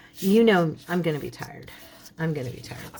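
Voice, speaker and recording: A woman with a fairly low pitch speaks at a moderate pace. Noticeable background noise is present. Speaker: crafting youtuber. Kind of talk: casual chat during craft tutorial. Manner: chatty.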